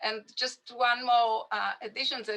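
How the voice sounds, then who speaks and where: A woman's fairly high, bright, sharp voice with an Israeli accent, at a moderate pace. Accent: Israeli Hebrew accent in English. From Israel, grew up on a kibbutz. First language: Hebrew. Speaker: Hebrew language teacher. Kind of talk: panel discussion. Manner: halting, many fillers.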